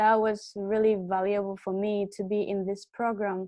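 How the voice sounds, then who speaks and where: Against a quiet background, a woman with a Japanese accent speaks at a fairly slow pace with a fairly high pitch. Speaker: student. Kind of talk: testimony.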